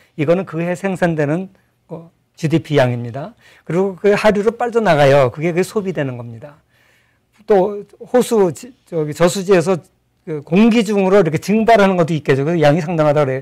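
Against a quiet background, this voice moves at a fairly quick pace with lively intonation, broken by long, frequent pauses. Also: man, high pitch for a man. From South Korea. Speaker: professor. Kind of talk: interview, lecture-like explanation. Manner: explanatory, articulate. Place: studio. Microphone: lapel.

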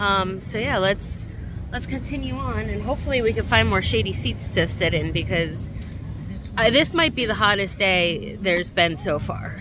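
A woman talks at a moderate pace over music in the background. The sound is dry with no echo. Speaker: food vlogger. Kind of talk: casual vlog chat. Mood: relaxed, a bit hot. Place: street. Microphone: phone near.

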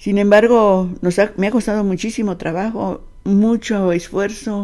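A woman with a dark, mellow tone and fairly even intonation speaks at a very slow pace against a quiet background. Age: 80s+. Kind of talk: interview answer. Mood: earnest, reflective. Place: home room. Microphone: handheld.

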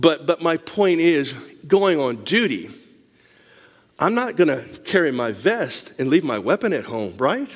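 Vocal fry and very wide pitch swings at a fairly slow pace against a quiet background. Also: man, fairly high pitch for a man. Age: 60s. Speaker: missionary and lay preacher; lay preacher. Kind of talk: Bible study talk with show-and-tell. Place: church.

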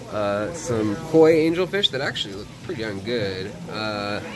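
A man talks at a very slow pace. There is noticeable background noise. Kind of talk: casual vlog commentary. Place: shop. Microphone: phone near.

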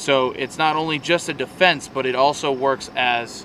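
A man speaks with fairly even intonation in a dry, echo-free sound, with noticeable background noise. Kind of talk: casual vlog chat. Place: open country.

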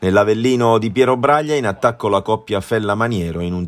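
Animated and dramatic, a man's fairly low voice moves through ordinary pitch variation. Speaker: sports commentator. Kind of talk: live-style football match commentary over highlights footage, voiced-over. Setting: voice-over recorded for highlights video. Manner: partisan and animated, dramatic on goals, critical of Foggia's performance.

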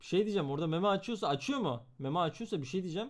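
In an animated tone with lively intonation, a man talks at a fairly quick pace in a high pitch. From Istanbul, Turkey. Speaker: streamer. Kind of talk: reaction stream commentary.

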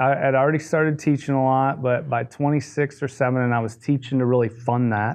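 At a fairly quick pace with hardly any pauses, a man with an American accent speaks in a flat monotone at medium pitch and very even loudness. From US Midwest, Detroit, Michigan. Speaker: golf coach. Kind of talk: casual interview chat.

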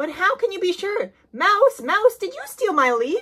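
A woman's cartoonish character voice at an extremely high pitch, bright and sharp in tone, with big pitch swings and a fairly slow pace.

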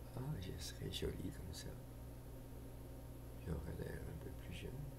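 Loud background noise is present in this recording. A man speaks at a very slow pace. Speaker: storyteller vlogger. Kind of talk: ASMR whispered role-play monologue to camera. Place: home room. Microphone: webcam.

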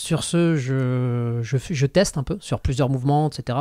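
The tone is dark and mellow with ordinary pitch variation. The sound is dry with no echo over a quiet background. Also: man. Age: 40s. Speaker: podcast host, strength athlete; podcast host. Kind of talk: casual chat. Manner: hesitant, many fillers. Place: studio. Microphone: studio mic.

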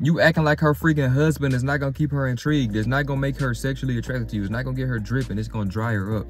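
A man talks at a very fast pace over faint background music, the sound dry with no echo. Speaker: dating advice vlogger. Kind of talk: casual vlog chat. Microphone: phone near.

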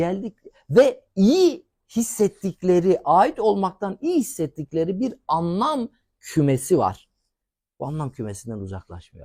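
A man's high voice with a dark, mellow tone, very wide pitch swings, big swings in loudness, a very slow pace, and a dry, close sound with no echo. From Turkey, rural village. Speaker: academic and expert. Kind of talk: TV interview.

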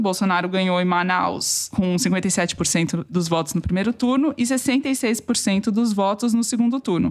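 Ordinary pitch variation marks this woman's plain, everyday voice, which has a medium pitch and a fairly slow pace. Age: over 24. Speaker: political journalist, podcast co-host. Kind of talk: casual political discussion. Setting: home recording.

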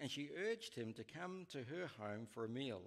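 The voice is a man's. Nothing much is heard behind him. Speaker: pastor preaching. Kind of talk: sermon scripture reading. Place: church.

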